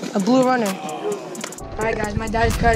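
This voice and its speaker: Over music in the background, the voice moves at a moderate pace with a dry sound and no echo. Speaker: angler vlogger. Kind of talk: casual vlog chat. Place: boat. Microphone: phone near.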